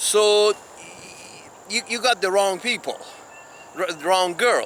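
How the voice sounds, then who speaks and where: Over noticeable background noise, a high-pitched man with a non-native accent speaks at a very slow pace. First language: not English. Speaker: video blogger. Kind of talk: open letter monologue. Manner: halting, many restarts.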